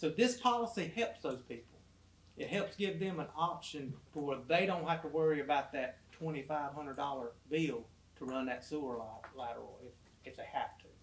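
Over noticeable background noise, a man with fairly high pitch and lively intonation talks at a fairly quick pace, leaving long, frequent pauses. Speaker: city official. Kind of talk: council meeting discussion.

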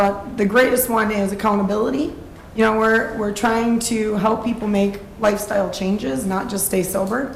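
A woman talks with fairly even intonation. Audible room echo surrounds her voice. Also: moderate pace. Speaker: sober housing program operator. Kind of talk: public testimony at city council meeting. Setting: city council meeting. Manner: loud.

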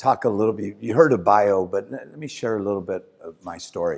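A man's fairly low voice against a quiet background. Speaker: guest. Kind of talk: speech to an audience. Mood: warm, joking. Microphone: handheld.

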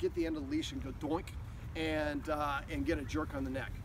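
Noticeable noise is present in the background. Over it, a man talks very fast. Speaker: dog trainer. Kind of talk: tutorial. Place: open country. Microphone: camera far.

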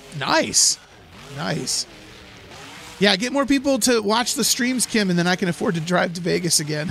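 Noticeable background noise surrounds a man speaking at a high pitch and moderate pace, with lively intonation and long, frequent pauses. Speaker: gaming live streamer. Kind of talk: casual live stream chat.

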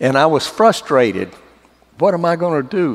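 Lively intonation marks this man's Southern US accent. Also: quiet background. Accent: Southern drawl. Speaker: former astronaut. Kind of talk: church testimony talk.

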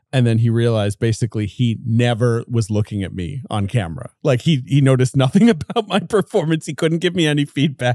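Here is a man with an unremarkable speaking voice and a medium pitch. He talks at a fairly quick pace with lively intonation and hardly any pauses. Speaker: film podcast host. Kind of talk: casual chat.

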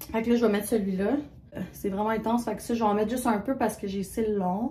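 A woman's fairly high, animated voice in a Quebec accent, with noticeable background noise. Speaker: vlogger. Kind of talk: casual vlog talk to camera. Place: bathroom. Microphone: phone near.

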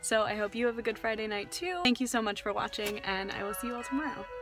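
A woman speaks on a dry recording with no echo, with faint music in the background. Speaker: vlogger. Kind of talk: casual vlog chat. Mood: relieved, cheerful, laughing. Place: car. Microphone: phone near.

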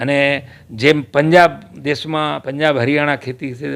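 A man talks with a fairly high pitch. He has a normal speaking voice. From Kutch, Gujarat (Vagad, Rapar). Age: 60s. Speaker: former electricity contractor and local politician. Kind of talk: interview.

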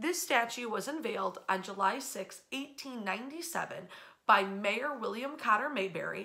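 A bright, sharp tone at a very slow pace, with ordinary pitch variation and a quiet background. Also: woman. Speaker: local history guide. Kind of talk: history storytelling. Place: home room. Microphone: phone near.

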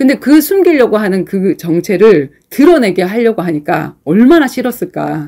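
Against a quiet background, a woman speaks at a moderate pace. She leaves hardly any pauses. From South Korea. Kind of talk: sermon-like Bible teaching. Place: classroom.

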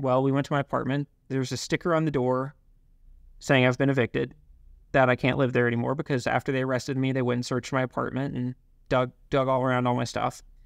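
A man speaks very fast with an American accent, his pitch medium. His intonation is monotone and flat, and the sound is dry and close with no echo. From US South. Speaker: company founder. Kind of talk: casual interview.

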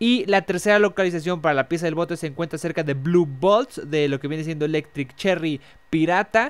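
In a Mexican accent, a man talks at a fairly quick pace with a high pitch. The recording is very clean, with a silent background. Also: ordinary pitch variation. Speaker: gaming youtuber. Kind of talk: tutorial.

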